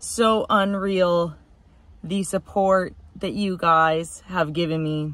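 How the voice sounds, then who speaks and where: Dry with no echo, a woman's medium-pitched voice carries ordinary pitch variation. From Canada. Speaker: car enthusiast YouTuber; car vlogger. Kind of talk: casual vlog update. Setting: inside a car. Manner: hesitant, many fillers. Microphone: phone near.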